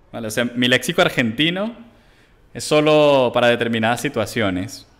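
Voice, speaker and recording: Speaking at a moderate pace, a man leaves long, frequent pauses and uses ordinary pitch variation. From Venezuela. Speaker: chess grandmaster streamer. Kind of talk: chess commentary while playing live. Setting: live stream with chat. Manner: animated. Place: home room. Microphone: headset.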